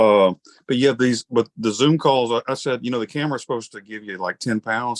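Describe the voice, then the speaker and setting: A man with a strong Southern US accent speaks at a moderate pace and medium pitch. His pitch varies in an ordinary way, and the sound is dry and close, with no echo. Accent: Southern US, he says thick. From Alabama. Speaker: podcast interviewer. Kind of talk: casual interview. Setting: video call. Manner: animated.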